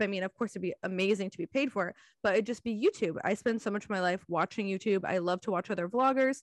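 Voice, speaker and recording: In an American accent, a woman uses a normal speaking voice at medium pitch with ordinary pitch variation. The sound is dry and close with no echo, against a quiet background. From Washington state. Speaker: podcast co-host. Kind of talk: casual chat.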